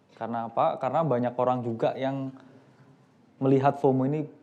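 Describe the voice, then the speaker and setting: With music in the background, a man speaks at medium pitch and a fairly quick pace. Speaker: investment expert on a panel. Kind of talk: panel discussion. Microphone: microphone just switched on, may be quiet.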